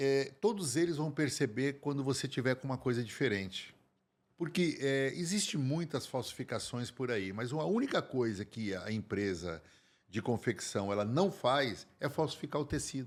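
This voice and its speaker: Recorded very cleanly with a silent background, a man with an ordinary speaking voice speaks at a moderate pace and medium pitch with lively intonation. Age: 60s. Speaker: men's fashion consultant. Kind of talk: podcast interview.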